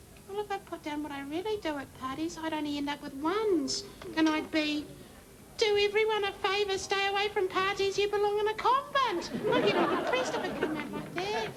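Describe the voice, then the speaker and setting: A woman puts on a squeaky character voice at an extremely high pitch, with lively intonation and a fairly quick pace. Clear background noise is present. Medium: comedy sketch. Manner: chatty, self-deceiving.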